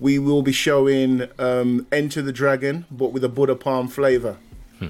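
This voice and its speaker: Monotone, flat intonation marks this man's speech at a medium pitch. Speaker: podcast host. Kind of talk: casual chat. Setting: video call.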